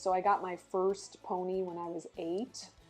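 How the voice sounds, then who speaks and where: A woman speaking with music in the background. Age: 60s. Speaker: founder of a draft horse rescue and farmer. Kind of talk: interview. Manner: many fillers and restarts.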